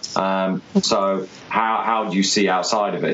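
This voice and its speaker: Noticeable background noise behind a man with an English accent, fairly low pitch and fairly even intonation. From England. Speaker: podcast host. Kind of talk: interview. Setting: call. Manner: halting.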